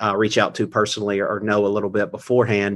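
A man with a Southern US accent speaks against a quiet background. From North Carolina. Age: 30s. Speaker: crime novelist and English teacher. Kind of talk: interview.

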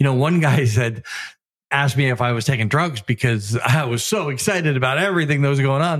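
Somewhat breathy and fairly high-pitched, a man speaks with lively intonation in a dry, close sound with no echo. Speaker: podcast host, full-time RVer. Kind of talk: casual chat. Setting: in an RV, recorded on the road.

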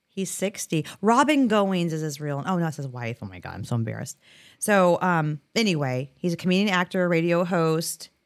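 Animated and with lively intonation, a woman talks fairly quickly in a fairly low voice. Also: very clean recording, silent background. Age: middle-aged. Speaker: podcast co-host. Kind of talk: casual chat.

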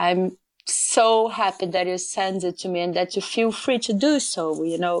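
A woman with a Brazilian Portuguese accent at medium pitch, speaking at a fairly slow pace with ordinary pitch variation. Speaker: magazine editor. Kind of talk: casual interview chat. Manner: hesitant, with many fillers.

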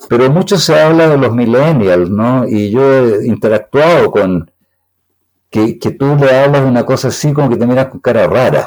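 Speaking with a Chilean accent, a man uses a medium pitch and lively intonation. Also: moderate pace. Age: 70s. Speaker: computer scientist. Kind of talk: interview.

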